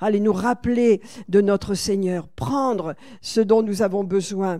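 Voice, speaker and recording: A woman speaks very slowly at a medium pitch. Her tone is dark and mellow, with ordinary pitch variation. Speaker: pastor. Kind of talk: sermon. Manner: animated.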